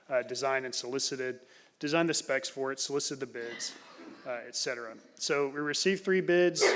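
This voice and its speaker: A man with an American accent at a very fast pace, fairly high in pitch with ordinary pitch variation, over noticeable background noise. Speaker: city staff member presenting agenda item. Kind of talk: council meeting staff report. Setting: city council chamber. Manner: loud.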